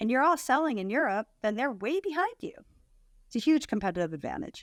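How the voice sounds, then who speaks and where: Pitched high, a woman with an American accent speaks at a fairly quick pace with very wide pitch swings. The recording is very clean, with a silent background. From US. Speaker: content marketing agency owner. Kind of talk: interview podcast.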